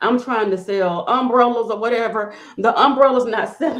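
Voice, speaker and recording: Her fairly high voice moves at a fairly quick pace, the woman's tone animated and her intonation lively. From US South, rural. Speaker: nonprofit funding consultant. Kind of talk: podcast interview. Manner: fast.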